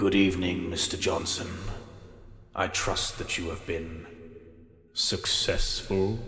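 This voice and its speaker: The speech moves at a fairly slow pace with long, frequent pauses and a slight echo. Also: man, very deep, low pitch for a man. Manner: menacing, calm.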